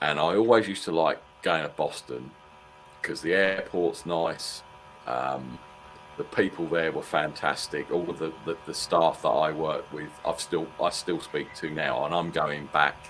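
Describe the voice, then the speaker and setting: With a British accent, a man with a very deep, low voice speaks at a fairly slow pace and with fairly even intonation. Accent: British, mistaken for Australian. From Britain. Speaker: NFL fan co-host. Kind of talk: casual chat.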